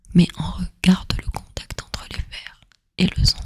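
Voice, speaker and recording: Whispering at a very slow pace, the voice carries a gentle tone. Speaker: ASMR storyteller / content creator. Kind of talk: soft spoken ASMR educational narration. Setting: close microphone, headphones listening. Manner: soft-spoken, gentle, relaxing.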